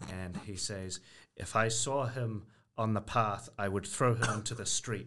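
A man speaks fairly slowly in a fairly low-pitched voice with a bright, sharp tone. His intonation is fairly even against a quiet background. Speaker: guest panelist. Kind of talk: casual banter. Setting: studio.

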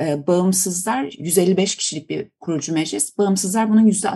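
The tone is dark, mellow and somewhat breathy. Delivery comes at a fairly slow pace. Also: woman. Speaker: political science professor. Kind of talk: interview. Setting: remote call. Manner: halting, many fillers.

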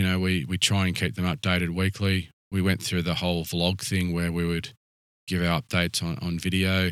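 A man with an Australian accent speaks at a moderate pace in a very deep, low voice. His intonation is fairly even, and the recording is very clean with a silent background. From Canberra, Australia. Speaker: rural fire service chief officer. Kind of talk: interview. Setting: fire station on location.

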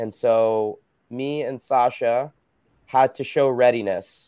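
In a very clean recording with a silent background, a man with an American accent speaks at medium pitch in a dark, mellow tone with fairly even intonation. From New Jersey, US. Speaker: former Olympic gymnast and fitness business owner. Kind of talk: casual interview.

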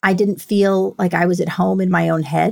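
A woman at a medium pitch, fairly slow pace, an unremarkable speaking voice. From New York City. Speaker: tech executive with a PhD in leadership. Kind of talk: interview about personal mental health story. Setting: remote call.

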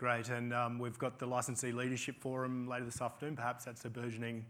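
Speaking at a fairly quick pace, a man holds a medium pitch with a monotone, flat intonation. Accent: Australian. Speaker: panel moderator. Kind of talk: panel discussion. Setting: stage with audience.

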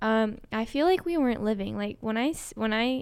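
Speaking at a fairly quick pace with an American accent, a woman has an unremarkable speaking voice at a fairly high pitch, heard in a very clean recording with a silent background. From Colorado. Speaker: podcast co-host, fitness business owner. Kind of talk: casual chat.

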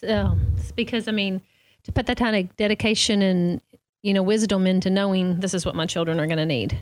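A woman's medium-pitched voice in a Southern US accent, at a fairly quick pace, with ordinary pitch variation and very even loudness. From US South. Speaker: podcast host. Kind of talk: casual interview.

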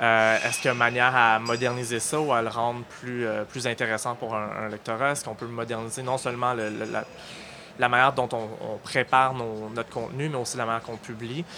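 A man talks at a fairly quick pace in a monotone, flat intonation. Noticeable background noise runs behind him. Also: medium pitch for a man. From Halifax, Nova Scotia, Canada. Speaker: digital news editor. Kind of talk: interview. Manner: halting, many fillers.

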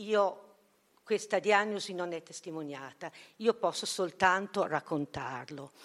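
With an unremarkable speaking voice at a medium pitch, a woman speaks at a fairly slow pace with ordinary pitch variation and big swings in loudness, on a very clean recording with a silent background. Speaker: philosophy and history teacher and author. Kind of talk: conference talk. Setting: conference hall.

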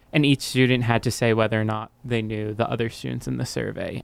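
He has a plain, everyday voice, medium in pitch for a man, with fairly even intonation. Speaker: student journalist. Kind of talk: interview. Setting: studio.

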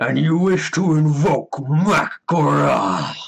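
Putting on a raspy character voice, a man speaks very slowly at a fairly high pitch. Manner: menacing, challenging.

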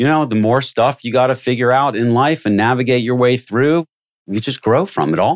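Moderately paced with ordinary pitch variation, a plain, everyday voice comes through on a very clean recording with a silent background. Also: man, medium pitch for a man. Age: 50s. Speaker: recruiting business development executive. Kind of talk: interview conversation.

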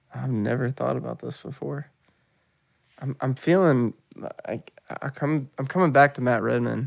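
The speaker has a Southern US accent and talks at a moderate pace with long, frequent pauses. The sound is dry and close, with no echo. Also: man. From West Tennessee (Paris). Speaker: church worship leader. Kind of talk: casual interview.

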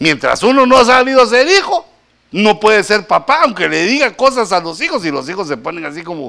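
A man speaks at a fairly quick pace in a raised, projected voice, his high pitch swinging very widely. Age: middle-aged. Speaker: pastor. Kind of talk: sermon.

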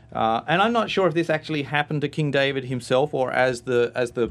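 The speaker has an Australian accent and ordinary pitch variation. The pace is moderate, with a quiet background. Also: man. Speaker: guest giving testimony. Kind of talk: testimony, conversational interview. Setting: radio studio.

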